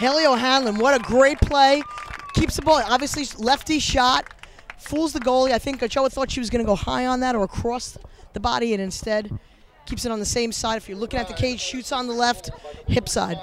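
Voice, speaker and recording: A man with a Long Island accent speaks at an extremely high pitch and fairly quick pace. His pitch varies in an ordinary way, and there is noticeable background noise. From US, Long Island, New York. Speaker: lacrosse color commentator. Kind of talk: live sports commentary. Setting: outdoors at a lacrosse game.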